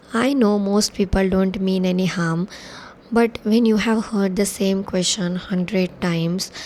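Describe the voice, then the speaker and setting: Over noticeable background noise, a woman talks at a fairly slow pace with medium pitch and fairly even intonation. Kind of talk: personal reflective talk to camera.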